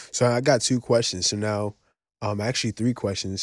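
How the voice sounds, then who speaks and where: A man in a New York accent, fairly low in pitch, monotone and flat, at a fairly quick pace, in a very clean recording with a silent background. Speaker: podcast co-host. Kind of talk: casual interview.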